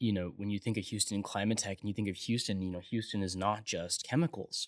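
A man's fairly low voice, an ordinary speaking voice with ordinary pitch variation, on a very clean recording with a silent background. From military family, partly raised in San Antonio, Texas. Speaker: startup founder and CEO. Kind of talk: casual interview.

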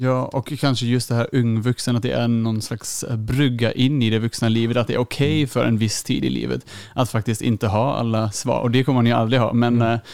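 A man's medium-pitched voice at a fairly quick pace, with hardly any pauses, very even loudness and fairly even intonation. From Germany. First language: German (speaking Swedish). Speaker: youth leader and theology student. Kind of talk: podcast interview.

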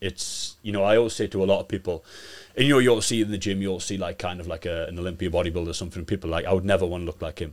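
With a Geordie accent, this speaker talks at a very fast pace in a very clean recording with a silent background. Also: man. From Newcastle, northern England. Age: 20s. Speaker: bodybuilder. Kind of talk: podcast interview.

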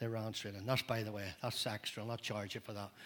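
A man with a Northern Irish accent. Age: old. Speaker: pastor. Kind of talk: sermon. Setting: church.

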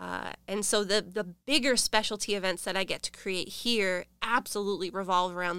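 Against a very clean recording with a silent background, a woman with an American accent speaks at a moderate pace in a bright, sharp tone. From New Hampshire, US. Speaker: event host and creative curator at a nonprofit. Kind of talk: casual interview. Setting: studio.

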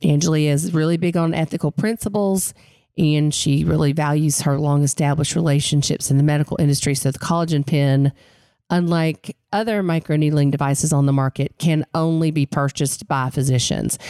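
A woman speaks in a Southern Appalachian accent at a very deep, low pitch, with a dark, mellow tone and fairly even intonation. Her pace is fairly quick, her loudness very even, and the sound is dry and close with no echo. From Western North Carolina mountains. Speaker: podcast co-host. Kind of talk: casual interview chat.

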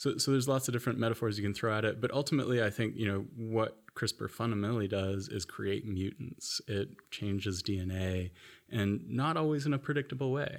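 Over a silent background on a very clean recording, a man with an American accent speaks at medium pitch and a fairly quick pace, with ordinary pitch variation. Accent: noticeable American. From US (Florida, moved around South/Midwest). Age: young. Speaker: anthropologist, professor. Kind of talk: interview. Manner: repeats words, hesitant fillers.

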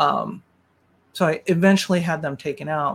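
The voice has vocal fry and ordinary pitch variation. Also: woman. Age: 60s. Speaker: masters CrossFit athlete, breast cancer survivor. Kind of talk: interview. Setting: video call.

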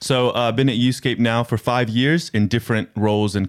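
This is a plain, everyday voice of a man with an American accent, at a moderate pace. The recording is very clean with a silent background. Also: dry, close sound with no echo. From United States. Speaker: youth worker. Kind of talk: casual interview. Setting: studio.

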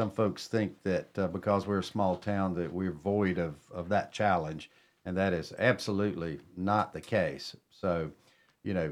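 Speaking in a North Carolina accent, a man talks at a fairly slow pace with a very deep, low pitch. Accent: Southern US (North Carolina). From Cornelius area, North Carolina. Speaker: town mayor hosting a radio show. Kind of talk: radio talk show. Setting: radio studio.

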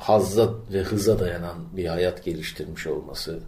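At a very slow pace, a man speaks in a very deep, low pitch with audible room echo. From Turkey, İzmir (Bostanlı). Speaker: podcast co-host. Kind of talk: casual chat.

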